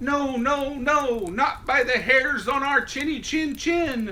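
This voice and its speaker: A man's put-on character voice, extremely high in pitch, at a fairly slow pace over light background noise. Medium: read story. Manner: defiant.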